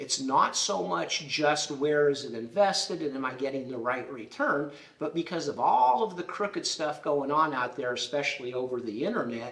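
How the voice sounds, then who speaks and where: Noticeable background noise sits under a man's fairly high, lively voice as he talks at a moderate pace with hardly any pauses. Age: 60s. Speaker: title insurance professional. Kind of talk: casual interview.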